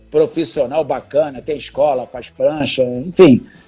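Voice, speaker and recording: Lively intonation, with music in the background. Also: man. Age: 60s. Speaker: professional surfer. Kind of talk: podcast interview.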